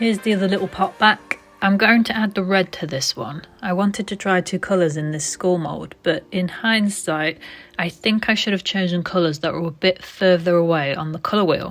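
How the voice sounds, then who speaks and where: An unremarkable speaking voice from a woman, at a moderate pace and a medium pitch. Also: ordinary pitch variation. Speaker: resin craft youtuber. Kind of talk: crafting tutorial voiceover.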